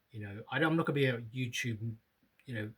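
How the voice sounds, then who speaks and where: A man is speaking. He has a British accent. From UK. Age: 50s. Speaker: vlogger. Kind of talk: casual vlog monologue. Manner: halting, many fillers.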